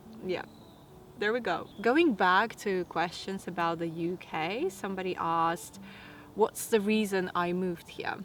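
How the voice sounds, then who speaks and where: In a Latvian accent, a woman speaks at medium pitch and a fairly slow pace with ordinary pitch variation. Music plays in the background. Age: 30s. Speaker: lifestyle vlogger. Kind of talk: casual Q&A monologue.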